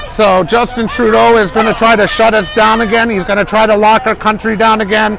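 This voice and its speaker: A man's high-pitched, monotone, flat voice at a fairly quick pace, with very even loudness, a dry sound with no echo, and clear music in the background. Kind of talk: live walking commentary. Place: street. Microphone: phone near.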